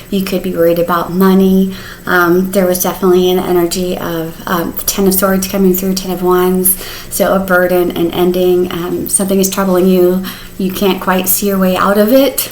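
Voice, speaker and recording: The intonation is monotone and flat. Noticeable background noise and audible room echo surround the voice. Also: woman, medium pitch for a woman. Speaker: tarot reader. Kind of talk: tarot reading. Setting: home, on the sofa. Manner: fast; casual, chatty.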